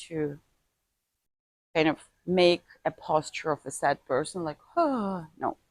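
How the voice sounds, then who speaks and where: A woman with a non-native accent, a fairly low pitch and lively intonation, in a dry, close sound with no echo. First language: not English. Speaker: martial arts teacher. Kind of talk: tutorial. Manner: halting.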